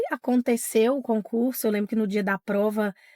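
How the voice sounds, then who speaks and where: On a very clean recording with a silent background and dry, close sound with no echo, a woman speaks at a fairly slow pace. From Minas Gerais, Brazil (Diamantina). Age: 40s. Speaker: teacher. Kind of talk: interview testimony.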